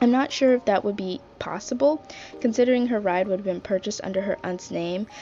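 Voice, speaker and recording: Fairly quick speech with lively intonation, set against noticeable background noise. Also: woman. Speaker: movie reviewer. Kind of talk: casual movie review to camera. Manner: fast.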